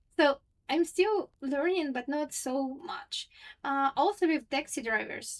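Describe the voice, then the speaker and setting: A woman speaks softly. Her pitch is high. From Russia. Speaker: streamer. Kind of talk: casual chat. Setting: livestream at home. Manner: soft-spoken; slow.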